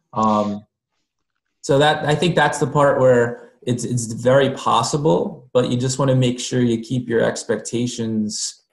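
A man with an American accent speaks at a fairly slow pace in a medium pitch, his somewhat breathy voice showing ordinary pitch variation against a quiet background with audible room echo. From New Jersey. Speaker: school district technology leader; teacher or educator. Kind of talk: group discussion. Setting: video call. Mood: casual, reflective. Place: home room. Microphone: video call.

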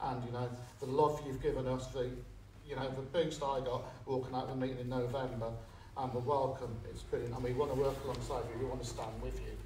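Speaking fast with little pitch movement, a man with a Liverpool accent is heard in audible room echo.

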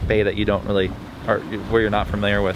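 A man's dry voice with no echo, amid noticeable background noise. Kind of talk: casual vlog chat. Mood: relaxed, laid-back. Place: boat. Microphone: phone near.

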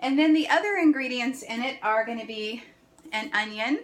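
Ordinary pitch variation marks this woman's voice. She speaks at a moderate pace. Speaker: home cooking vlogger. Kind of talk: cooking tutorial. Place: kitchen. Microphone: phone near.

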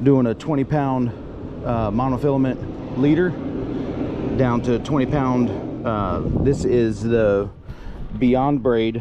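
Very slowly, a man speaks in a dry sound with no echo as noticeable noise runs behind him. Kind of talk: casual fishing tutorial commentary. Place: boat. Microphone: phone near.

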